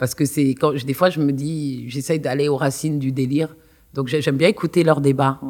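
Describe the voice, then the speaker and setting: Her intonation fairly even, a woman talks with a very deep, low pitch on a very clean recording with a silent background. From Paris suburbs, France (Kremlin-Bicêtre). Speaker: university lecturer. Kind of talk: interview.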